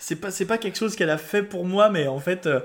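The pace of this man's speech is very fast. Lively intonation runs through it. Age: 20s. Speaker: local radio presenter. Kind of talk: casual chat. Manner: halting.

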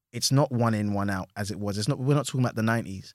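Very fast speech in a London accent, with ordinary pitch variation, comes through dry and close with no echo on a very clean recording with a silent background. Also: man. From London, Hackney. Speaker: actor and comedy writer. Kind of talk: casual interview chat. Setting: studio.

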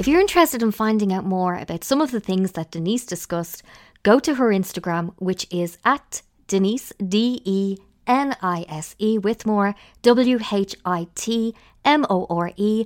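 With an Irish accent, a woman talks at a moderate pace and medium pitch with lively intonation, recorded very cleanly against a silent background in a dry, close sound with no echo. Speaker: podcast host. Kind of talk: scripted narration. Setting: recording pod outside an office building.

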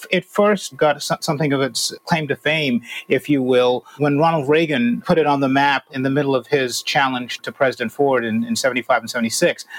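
A plain, everyday voice from a man, fairly high in pitch with ordinary variation, hardly any pauses, and a dry, close sound with no echo. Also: moderate pace. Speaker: opinion columnist. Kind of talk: casual interview chat.

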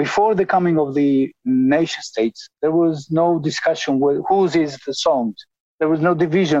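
With an Albanian accent, a man speaks at a fairly high pitch in a dark, mellow tone, using ordinary pitch variation at a moderate pace, and the sound is dry and close with no echo. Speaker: ethnomusicologist. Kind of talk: interview. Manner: halting.

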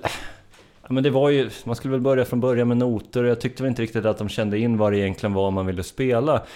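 Here a man talks at a very fast pace. His voice sits at a medium pitch with a dark, mellow tone. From Sörmland, Sweden (Strängnäs). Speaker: musician in a band. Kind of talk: casual interview.

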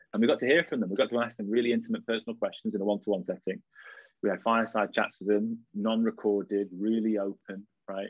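A man with a slight Lancashire accent speaks very fast in a fairly low voice. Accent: northern English (Lancashire), slight. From Blackpool, northwest England. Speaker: startup co-founder. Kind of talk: casual interview chat.

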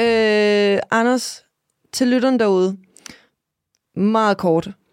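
With a dry, close sound and no echo, a woman speaks very slowly at a medium pitch with ordinary pitch variation. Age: 30s. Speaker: podcast host and influencer. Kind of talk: casual chat.

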